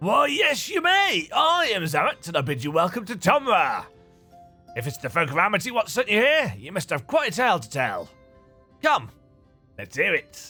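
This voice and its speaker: Putting on a gruff character voice, a man projects loudly at a high pitch and moderate pace, his loudness swinging widely, with long, frequent pauses and faint music in the background. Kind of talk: rustic, folksy. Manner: welcoming, hospitable.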